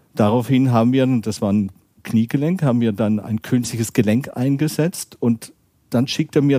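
With a slight Baden accent, a man speaks in a dark, mellow tone with ordinary pitch variation, the sound dry and close with no echo. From southern Germany, Baden (between Freiburg and Karlsruhe). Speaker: orthopedic surgeon. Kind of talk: interview.

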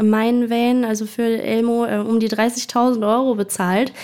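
Her fairly high-pitched voice stays monotone, the woman's intonation flat throughout. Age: 20s. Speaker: travel influencer. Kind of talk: interview.

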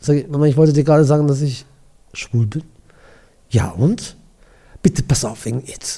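A man's fairly high-pitched, somewhat breathy voice with a dark, mellow tone, ordinary pitch variation, a moderate pace and long, frequent pauses. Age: 60s. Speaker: gallery owner and event host. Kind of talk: casual interview chat. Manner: animated.

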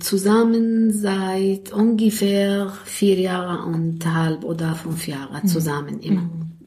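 A woman speaks at a very slow pace and medium pitch, somewhat breathy. Her tone is dark and mellow, her intonation fairly even. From Syria, Damascus. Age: 50s. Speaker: social worker and self-help group leader. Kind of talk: interview. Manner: halting.

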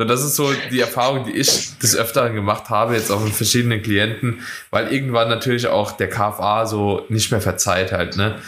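A moderate pace with hardly any pauses and fairly even intonation, in audible room echo. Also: man, medium pitch for a man. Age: 20s. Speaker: podcast host and bodybuilding coach. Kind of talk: casual chat.

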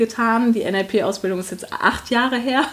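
Fairly even intonation comes through over noticeable background noise. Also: woman. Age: 30s. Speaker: HR professional and coach. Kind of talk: interview.

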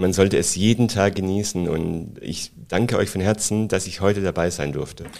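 A man with a plain, everyday voice keeps a moderate pace, and his pitch varies in an ordinary way. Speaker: flight attendant. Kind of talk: casual interview.

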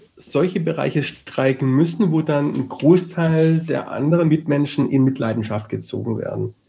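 Dark, mellow and somewhat breathy, a fairly high-pitched man's voice with hardly any pauses. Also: ordinary pitch variation, moderate pace. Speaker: podcast co-host. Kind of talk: casual chat.

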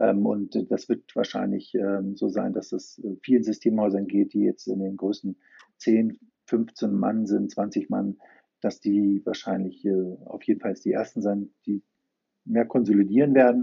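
Long, frequent pauses break up the speech. Overall the pace is fairly slow. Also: man. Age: 50s. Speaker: IT company founder. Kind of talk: interview.

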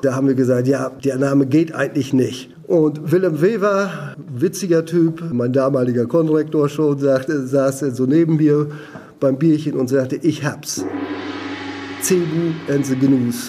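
A man's fairly high voice at a fairly slow pace, with very even loudness, ordinary pitch variation and noticeable background noise. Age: 60s. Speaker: retired teacher and rock musician. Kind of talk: interview.

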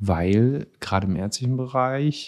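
A man speaks in a dark, mellow tone. His pitch variation is ordinary. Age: 40s. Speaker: psychiatrist, chief physician. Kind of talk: casual interview chat.

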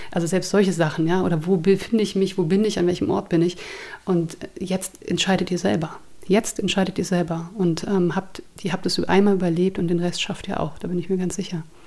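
With monotone, flat intonation, a woman talks at a fairly quick pace and a medium pitch. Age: 30s. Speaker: therapist, abuse survivor. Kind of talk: interview testimony.

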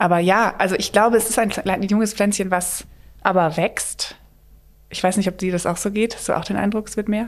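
At medium pitch and a fairly quick pace, a woman speaks with monotone, flat intonation. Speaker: theatre director. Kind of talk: casual chat.

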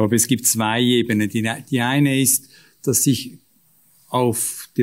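In a very clean recording with a silent background, a man speaks very slowly at a medium pitch with monotone, flat intonation. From Switzerland, canton of Aargau. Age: 50s. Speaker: business executive and local politician. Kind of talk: panel discussion.

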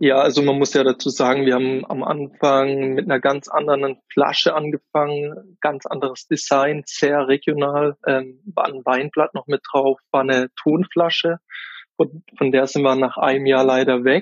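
The intonation is monotone and flat. Delivery moves at a moderate pace. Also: man, fairly high pitch for a man. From Kaiserstuhl, Baden, southwest Germany. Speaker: gin distiller and wine sales worker. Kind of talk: interview.

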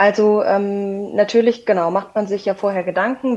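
A woman speaks at a moderate pace. Her pitch is fairly high, and her intonation is fairly even. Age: 30s. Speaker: insurance sales representative. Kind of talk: interview. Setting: remote call. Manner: hesitant with fillers.

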